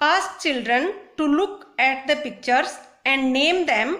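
A woman is speaking. Her pitch swings very widely. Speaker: teacher. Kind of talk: lesson for children. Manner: slow, phrase by phrase.

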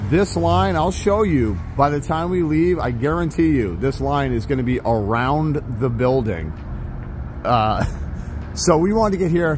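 Pausing long and often, a man speaks at a fairly slow pace. The sound is dry with no echo, but there is noticeable background noise. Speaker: vlogger. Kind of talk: casual vlog chat. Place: street. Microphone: phone near.

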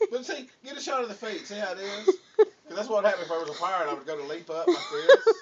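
Playful and very fast, a man with a Southern US accent speaks high in pitch with very wide pitch swings over noticeable background noise. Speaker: father. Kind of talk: casual family banter. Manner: joking, playful. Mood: playful, drowsy humor. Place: home room. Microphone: camera far.

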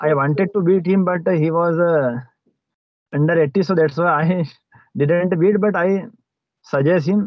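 In an Indian accent, a man talks at a fairly slow pace in a high pitch, with long, frequent pauses and ordinary pitch variation. The sound is dry with no echo, and the background is quiet. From Madhya Pradesh, India. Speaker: police officer learning English. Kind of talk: English practice conversation. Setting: video call. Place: car. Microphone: video call.

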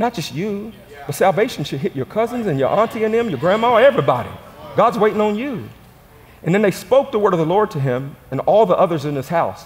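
Shouting in an animated tone, a man's high-pitched voice races at a very fast pace with very wide pitch swings. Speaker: pastor. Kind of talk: sermon, call-and-response church preaching. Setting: stage with audience. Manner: animated, rousing the congregation to shout back; folksy, repetitive emphasis with direct audience prompts. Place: church. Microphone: headset.

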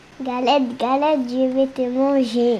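Over clear background noise, a put-on character voice speaks at a fairly slow pace with monotone, flat intonation. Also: female-sounding voice, high pitch for a woman. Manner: gruff, threatening.

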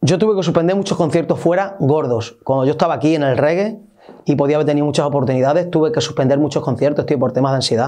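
The speaker talks at a very fast pace with ordinary pitch variation and very even loudness. The background is quiet. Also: man, fairly high pitch for a man. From Spain, Extremadura (Olivenza); Extremadura, Spain. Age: 30s. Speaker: musician. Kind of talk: interview. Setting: studio. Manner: animated. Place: studio.

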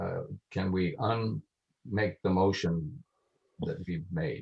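There is lively intonation in this man's speech. A somewhat breathy quality marks his voice. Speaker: council member chairing the meeting. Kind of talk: council meeting discussion.

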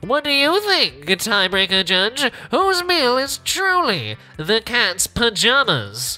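A put-on character voice is heard over clear music in the background. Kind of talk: old-time radio announcer. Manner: dramatic, mock-grand.

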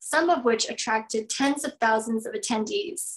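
A woman speaks at a moderate pace in a high pitch. The background is quiet. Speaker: event host. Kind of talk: formal welcome speech. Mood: warm, cheerful. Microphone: video call.

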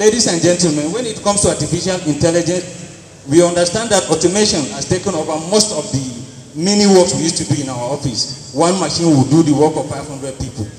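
Over light background noise and audible room echo, a high-pitched man talks at a very fast pace. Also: ordinary pitch variation. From Nigeria, Taraba State. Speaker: accountant; conference presenter. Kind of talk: group presentation. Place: hall. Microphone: handheld.

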